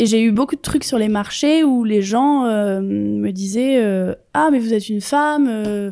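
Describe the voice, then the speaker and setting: At a very slow pace with hardly any pauses, a woman talks in a fairly high voice with a dark, mellow tone and ordinary pitch variation. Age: 30s. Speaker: microbrewer. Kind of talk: casual chat.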